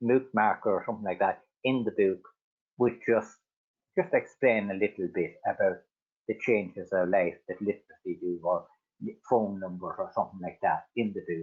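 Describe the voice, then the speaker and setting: Here a man talks at a moderate pace. He has an Irish accent. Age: 60s. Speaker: adult literacy learner. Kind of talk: personal testimony. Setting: webinar video call. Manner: halting, repetitive fillers.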